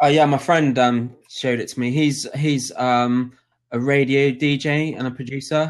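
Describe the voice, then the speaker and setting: This man speaks with a West Country accent at a moderate pace, his fairly high pitch held in a flat, monotone delivery. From southwest England (Dorset). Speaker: DJ. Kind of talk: casual chat. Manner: halting.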